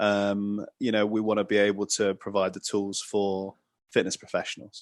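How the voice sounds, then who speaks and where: A voice in a British accent comes through monotone and flat with very even loudness, dry and close with no echo, over a quiet background. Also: man, fairly low pitch for a man, moderate pace. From England, London. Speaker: fitness entrepreneur, former footballer. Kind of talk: podcast interview.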